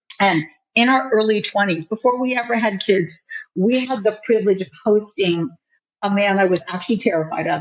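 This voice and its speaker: A woman talks at a moderate pace in a plain, everyday voice. Her pitch varies in an ordinary way. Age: 60s. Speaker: author and minister. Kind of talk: podcast interview. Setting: studio.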